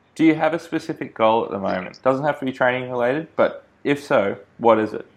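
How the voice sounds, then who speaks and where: Over a quiet background, a man with an Australian accent talks at a moderate pace and a fairly high pitch, with ordinary pitch variation. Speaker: podcast host. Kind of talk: interview.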